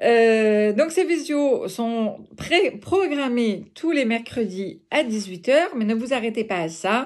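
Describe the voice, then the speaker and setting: Very slowly and with lively intonation, a woman speaks at a fairly high pitch against a quiet background. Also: hardly any pauses. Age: 50s. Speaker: home-sales fashion consultant; clothing sales network seller. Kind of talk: recruitment pitch video. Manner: hesitant, many filler sounds. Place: home room. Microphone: phone near.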